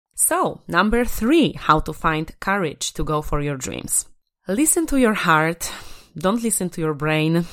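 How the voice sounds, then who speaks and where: A woman speaks with a Polish accent on a very clean recording with a silent background. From Poland. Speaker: podcast host, confidence coach. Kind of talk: motivational solo podcast. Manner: animated.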